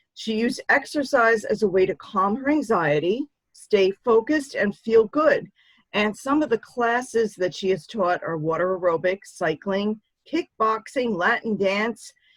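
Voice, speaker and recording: A woman speaks in a normal speaking voice at a fairly high pitch. Her intonation is lively and her pace fairly slow. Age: 60s. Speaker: show host and author. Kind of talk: interview.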